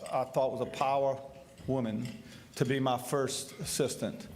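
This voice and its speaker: Here a man speaks at medium pitch and a moderate pace. Room echo is audible. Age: 60s. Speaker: state treasurer and candidate. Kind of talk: candidate forum speech.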